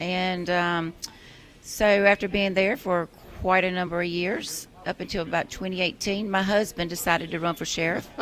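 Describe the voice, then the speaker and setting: With a South Carolina accent, a woman speaks at a moderate pace in a medium pitch and a monotone, flat intonation. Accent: Southern US (South Carolina). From US South, York County, South Carolina. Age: 50s. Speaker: political candidate, retired law enforcement officer. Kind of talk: radio interview. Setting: radio studio.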